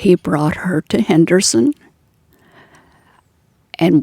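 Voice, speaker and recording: Delivered at a very slow pace, the dark, mellow tone comes through with a dry, close sound and no echo. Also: woman. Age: 80s+. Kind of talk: interview answer.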